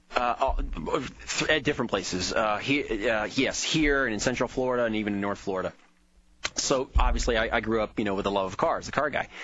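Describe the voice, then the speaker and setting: Through noticeable background noise, a man talks at a fairly quick pace with ordinary pitch variation. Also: medium pitch for a man. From Miami. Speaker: biofuels business owner. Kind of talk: radio interview. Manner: halting, repetitive.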